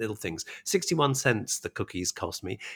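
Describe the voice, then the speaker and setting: Vocal fry, very wide pitch swings and a fairly quick pace, in a dry, close sound with no echo and a very clean recording with a silent background. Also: man. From England. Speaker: podcast host. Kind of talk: casual interview; scripted narration.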